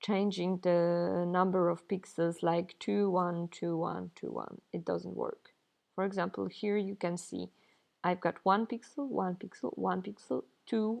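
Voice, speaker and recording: At a fairly slow pace, a woman talks with a non-native accent. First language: not English. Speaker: pixel artist and game developer. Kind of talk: tutorial.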